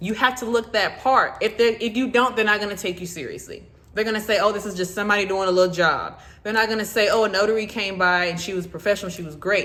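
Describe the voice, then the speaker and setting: A woman with a Southern US accent talks at a very fast pace. Her tone is animated, bright and sharp. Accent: Southern country speech. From US South. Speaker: notary and loan signing agent YouTuber. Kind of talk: informal advice video.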